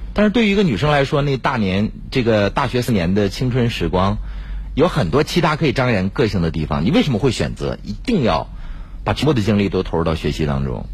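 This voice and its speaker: Speaking at a very fast pace, a man with fairly low pitch makes very wide pitch swings. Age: 40s. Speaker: radio host. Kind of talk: radio interview; radio announcements. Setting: studio.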